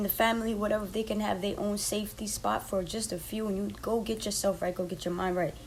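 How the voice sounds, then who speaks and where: Very fast speech from a woman at a medium pitch, with audible room echo and noticeable background noise. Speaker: podcast host, life coach. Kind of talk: motivational podcast monologue. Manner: animated.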